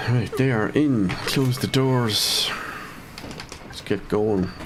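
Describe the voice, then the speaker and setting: Speaking at a very slow pace, a man has a medium pitch. Noticeable background noise runs behind him. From Ireland, County Cavan. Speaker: gaming streamer. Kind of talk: live gameplay commentary. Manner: casual, thinking aloud.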